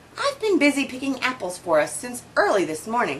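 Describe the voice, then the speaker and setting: Putting on a character voice, a woman with a high pitch speaks at a fairly quick pace with very wide pitch swings as background noise comes through clearly. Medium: read story.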